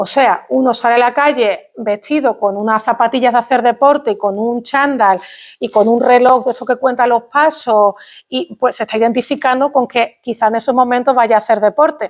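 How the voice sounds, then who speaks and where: At a moderate pace, a woman talks in a high voice with fairly even intonation. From Andalusia, Spain. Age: young. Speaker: linguistics professor. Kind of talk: public lecture. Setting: stage with audience. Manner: formal.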